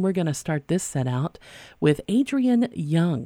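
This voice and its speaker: Fairly low in pitch, a woman speaks fairly slowly with lively intonation and a tone both warm and upbeat, yet dark and mellow. The sound is dry and close with no echo, on a very clean recording with a silent background. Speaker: radio host. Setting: radio studio broadcast. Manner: warm, conversational, upbeat and easygoing.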